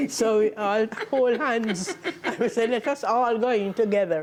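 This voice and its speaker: A woman talks in a Jamaican accent. Her pitch is medium and her pace moderate. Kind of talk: oral history interview answer.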